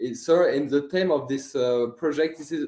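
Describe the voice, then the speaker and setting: In a French accent, a man speaks at a fairly slow pace with a dark, mellow tone. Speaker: student animator, filmmaker. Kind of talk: interview. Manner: halting.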